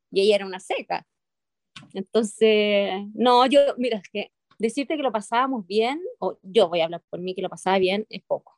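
A woman with a Chilean accent speaks with ordinary pitch variation. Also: moderate pace, dry, close sound with no echo. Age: 50s. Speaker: actress. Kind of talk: interview. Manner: hesitant with many fillers.

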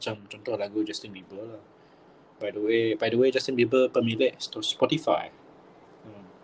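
A man at medium pitch, somewhat breathy, with fairly even intonation, a moderate pace, long, frequent pauses and big swings in loudness. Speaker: podcast co-host. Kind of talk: casual chat. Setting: remote call.

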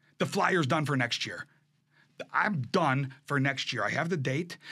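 Animated in tone, a man speaks at a moderate pace. His voice is bright and sharp, with a fairly high pitch. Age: 50s. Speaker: furniture business owner and auctioneer. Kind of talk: casual interview.

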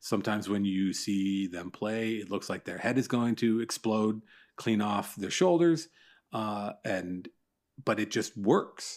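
This man talks at a fairly slow pace with a Canadian accent, his fairly low pitch showing ordinary variation. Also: very clean recording, silent background. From Ontario, Canada (Newmarket, north of Toronto). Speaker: baseball podcaster and newsletter writer. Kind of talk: casual chat.

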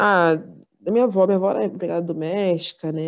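A woman in a plain, everyday voice, fairly low in pitch with fairly even intonation, against a quiet background. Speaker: podcast host, university student. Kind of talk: casual chat.

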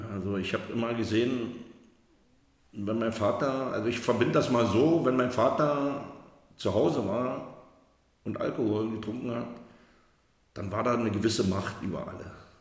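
Amid audible room echo, a man speaks at a medium pitch and a moderate pace with ordinary pitch variation and long, frequent pauses. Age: 50s. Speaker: recovering alcoholic. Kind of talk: personal testimony. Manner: halting.

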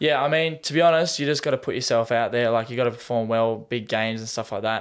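In a very clean recording with a silent background, a man with an Australian accent talks at a very fast pace and medium pitch. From Tasmania, Australia. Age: 20s. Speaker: semi-professional goalkeeper and personal trainer. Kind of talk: casual interview chat.

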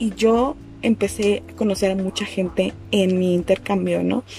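Over noticeable background noise, a woman with a Mexico City accent speaks at a fairly slow pace. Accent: Mexico City Spanish (chilango). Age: 20s. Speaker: podcast host. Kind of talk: personal storytelling monologue. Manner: casual, slangy.

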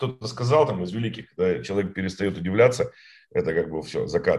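A man talks at a fairly low pitch. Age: 40s. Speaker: entrepreneur. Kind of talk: interview. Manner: halting, many fillers and repetitions.

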